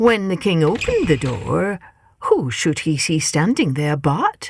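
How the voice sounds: A woman talks at a slow pace with a slightly husky edge. Faint music plays in the background.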